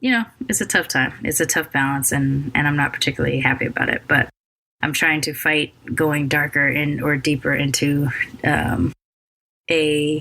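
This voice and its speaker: Speaking at a moderate pace with an American accent, a woman has a very deep, low pitch. Her tone is bright and sharp. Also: ordinary pitch variation. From United States. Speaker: podcast host. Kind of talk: podcast intro monologue. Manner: labored; hesitant, with many fillers.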